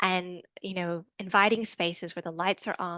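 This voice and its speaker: A woman's bright, sharp voice with an Australian accent, dry and close with no echo, over a quiet background. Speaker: researcher presenting a report. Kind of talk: presentation. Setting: online event. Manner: fast.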